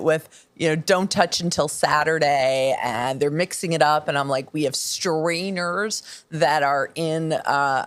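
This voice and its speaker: With a plain, everyday voice, a woman speaks at a fairly slow pace and a fairly low pitch. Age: 50s. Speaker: podcast host. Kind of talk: interview conversation.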